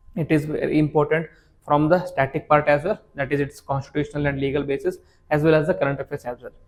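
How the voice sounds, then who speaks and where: A man's voice at a very fast pace, with fairly even intonation. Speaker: exam coaching teacher. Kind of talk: lecture.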